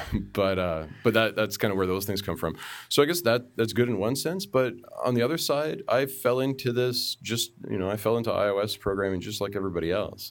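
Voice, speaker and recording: With a Canadian accent and an ordinary speaking voice, a man of medium pitch talks at a fairly quick pace with lively intonation on a very clean recording with a silent background. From Canada, Toronto suburbs (Markham). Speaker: software engineer. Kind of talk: casual chat.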